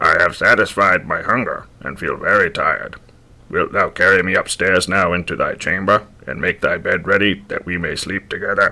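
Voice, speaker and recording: A man speaks at a moderate pace in a put-on character voice. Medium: read story. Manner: archaic, insistent.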